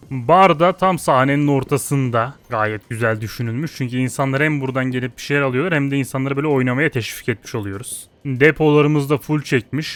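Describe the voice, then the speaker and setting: A man's animated voice at a fairly quick pace, with ordinary pitch variation. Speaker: gaming YouTuber. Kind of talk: gameplay commentary. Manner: casual, animated.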